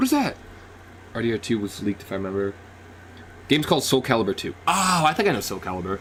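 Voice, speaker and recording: A man's medium-pitched voice makes very wide pitch swings at a very fast pace, broken by long, frequent pauses. Noticeable background noise runs underneath. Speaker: gaming streamer. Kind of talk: live reaction stream. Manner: animated; loud, yelling at times.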